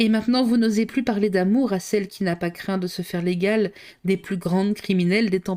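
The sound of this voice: The voice reads in an unforced way.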